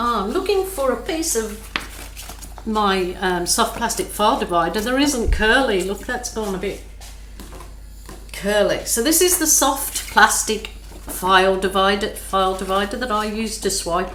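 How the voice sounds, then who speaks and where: Through audible room echo and noticeable background noise, a woman speaks at a fairly slow pace. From England, Birmingham. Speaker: acrylic pouring artist. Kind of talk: art tutorial. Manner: relaxed, slow.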